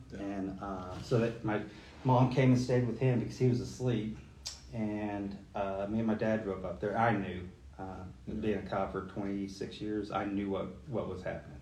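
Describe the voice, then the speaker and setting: With a dark, mellow tone and a somewhat breathy quality, a man talks at a moderate pace in a fairly low pitch, using ordinary pitch variation. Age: 40s. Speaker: police lieutenant. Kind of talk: casual chat.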